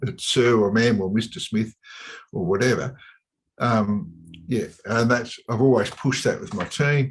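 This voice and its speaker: Here is a man with a strong Australian accent and a medium pitch. His pace is moderate and his pitch varies in an ordinary way. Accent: broad Australian. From Australia, suburban Melbourne. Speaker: chartered accountant and business advisor. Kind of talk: podcast interview. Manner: hesitant, many fillers.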